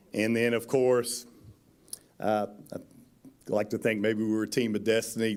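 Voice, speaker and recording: Over a silent background in a very clean recording, the speaker goes at a moderate pace with monotone, flat intonation and long, frequent pauses. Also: man, medium pitch for a man. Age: 60s. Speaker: basketball coach. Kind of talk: acceptance speech.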